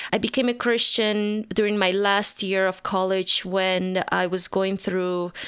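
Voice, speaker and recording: In a Spanish accent, a woman talks at a moderate pace with a medium pitch and monotone, flat intonation, captured in a very clean recording with a silent background. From Bolivia, La Paz. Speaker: pastor. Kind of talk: interview.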